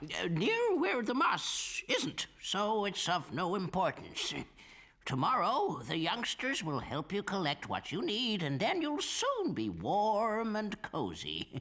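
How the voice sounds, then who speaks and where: Using a cartoonish character voice, a man speaks at a fairly slow pace in a high pitch over light background noise. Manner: genial, chuckling, prone to rambling.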